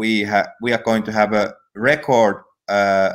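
The background is quiet. A man speaks very slowly. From Finland. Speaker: energy company founder; guest. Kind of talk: interview. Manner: halting. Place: home room. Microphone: headset.

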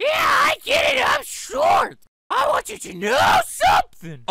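Shouting in a squeaky, put-on character voice, the speaker hits an extremely high pitch at a fairly slow pace. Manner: squeaky, cartoonish.

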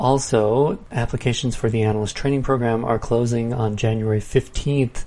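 His voice is somewhat breathy and dark, mellow in tone, and this man keeps his intonation fairly even. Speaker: podcast announcer. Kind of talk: announcements and scripted intro.

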